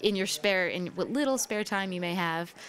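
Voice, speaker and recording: In an ordinary speaking voice, a woman talks at a fairly quick pace and medium pitch. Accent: American. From New York. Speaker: singer-songwriter. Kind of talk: radio interview. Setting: live radio broadcast from a cafe.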